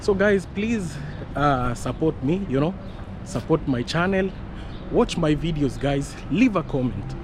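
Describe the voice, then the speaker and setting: Noticeable background noise accompanies a man speaking fairly slowly at a fairly high pitch with lively intonation. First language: not English. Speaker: vlogger. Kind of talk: casual vlog walk-and-talk. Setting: outdoors on street.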